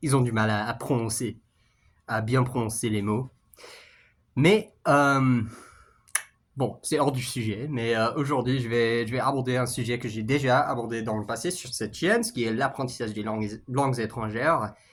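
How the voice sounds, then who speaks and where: A man with a medium pitch speaks at a fairly slow pace with ordinary pitch variation and long, frequent pauses. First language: English (speaking French). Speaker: YouTuber, language learner. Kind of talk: casual vlog monologue. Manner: halting, many fillers and repetitions.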